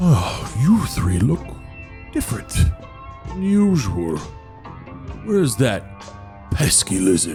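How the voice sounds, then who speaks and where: With clear music in the background, a man does a put-on character voice at a fairly slow pace, leaving long, frequent pauses. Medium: actual play. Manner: weary, haughty, condescending.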